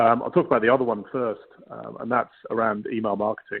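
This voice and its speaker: Talking at a very fast pace, a man with a British accent keeps a medium pitch and fairly even intonation. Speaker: data solutions executive. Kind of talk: webinar panel presentation. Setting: live web broadcast.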